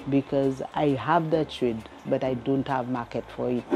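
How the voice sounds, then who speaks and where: A woman speaks at a very slow pace with a very deep, low pitch. Her intonation stays fairly even. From Saint Lucia. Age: 60s. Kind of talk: interview testimony.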